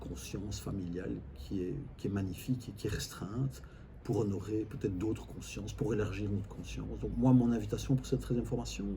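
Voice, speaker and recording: A man talks at a moderate pace, and room echo is audible. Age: 60s. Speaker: family constellation facilitator. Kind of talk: interview. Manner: hesitant, repeats words.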